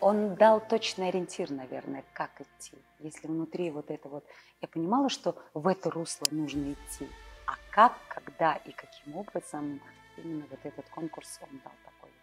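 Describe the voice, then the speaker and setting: A woman's fairly low voice, showing ordinary pitch variation, plays out with music in the background. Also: moderate pace. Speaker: actress. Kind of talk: interview answer.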